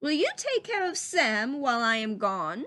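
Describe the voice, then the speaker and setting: A put-on character voice at a moderate pace, pitch swinging very widely, over a quiet background. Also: woman, high pitch for a woman. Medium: read story. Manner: courteous, warm.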